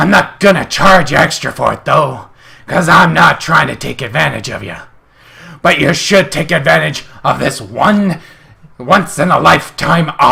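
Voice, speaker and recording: A man puts on a raspy character voice at a fairly high pitch. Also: moderate pace. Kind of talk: comedic reading of an online ad. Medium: read story. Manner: brash, boisterous.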